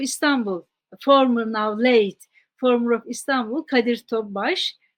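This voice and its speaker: The speaker talks at a fairly slow pace in a Turkish accent, with ordinary pitch variation. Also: woman. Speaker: scholar. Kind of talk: interview. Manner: halting.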